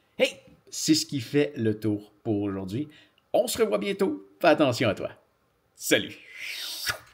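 A man in a Quebec accent, fairly high in pitch, with very wide pitch swings, a very slow pace, long, frequent pauses and a quiet background. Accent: Québécois French. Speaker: YouTuber. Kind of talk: casual vlog. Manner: halting. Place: studio.

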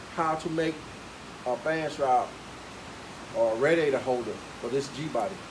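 Noticeable background noise sits under the speech. The pace is moderate, with ordinary pitch variation. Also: man. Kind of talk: tutorial. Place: garage. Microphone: camera far.

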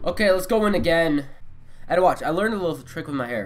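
A man speaks at a very fast pace. Faint music can be heard behind him. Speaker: gamer. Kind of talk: let's play commentary.

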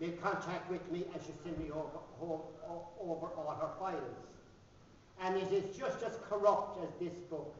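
A man speaks at a high pitch and a moderate pace, with fairly even intonation. Light background noise and audible room echo come through. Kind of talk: speech at a book launch. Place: hall. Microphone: camera far.

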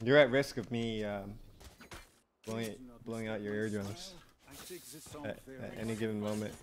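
A man speaks quietly. Long pauses come often. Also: fairly low pitch for a man, fairly even intonation, moderate pace, big swings in loudness. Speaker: gaming streamer. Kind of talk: casual live stream commentary. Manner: quiet, with sudden loud bursts; casual, filler-heavy.

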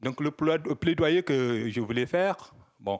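A man at a very slow pace with lively intonation over a quiet background. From Sahel, West Africa. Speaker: audience member. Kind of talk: audience question. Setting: conference hall with audience. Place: hall. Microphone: handheld.

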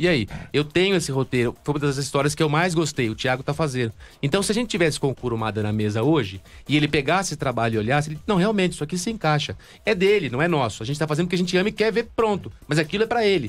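A man with a fairly high voice races along at a very fast pace with very wide pitch swings. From Brazil. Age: 30s. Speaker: fan project creator. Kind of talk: casual interview. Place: studio. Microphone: studio mic.

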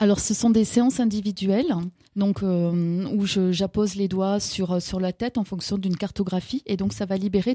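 At a moderate pace, the speaker has a dark, mellow tone and fairly even intonation. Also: woman. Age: 50s. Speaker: author and holistic practitioner. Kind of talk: radio interview. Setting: radio studio.

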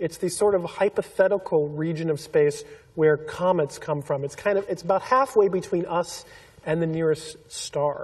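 A man with an American accent talks at a moderate pace in a high pitch. His pitch variation is ordinary, and background noise is noticeable. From Pasadena, southern California. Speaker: astronomer. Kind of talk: public panel discussion.

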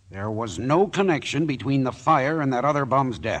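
A gruff, put-on character voice delivers lines at a moderate pace. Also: man, medium pitch for a man. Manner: gruff, sour, defensive.

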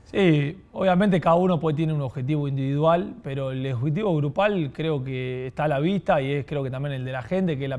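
With a normal speaking voice and ordinary pitch variation, this man talks fairly high for a man. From Argentina, southern Santa Fe province. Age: 20s. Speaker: professional football goalkeeper; guest. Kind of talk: podcast interview. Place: studio. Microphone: lapel.

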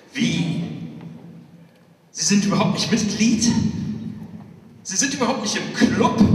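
A man speaks at a very slow pace with a high pitch. Room echo is audible. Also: ordinary pitch variation. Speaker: pastor. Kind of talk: poetry slam performance. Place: church.

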